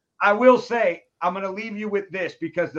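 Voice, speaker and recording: A man talks at a fairly quick pace. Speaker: podcast host. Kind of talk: casual interview chat. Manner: casual, slangy.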